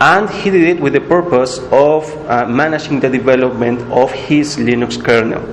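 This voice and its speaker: A man with a Spanish accent, audible room echo and noticeable background noise. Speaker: workshop instructor. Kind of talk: tutorial.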